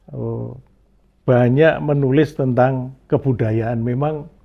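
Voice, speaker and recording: A man at a very slow pace, medium in pitch, with ordinary pitch variation. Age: 70s. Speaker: cultural figure and educator. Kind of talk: interview.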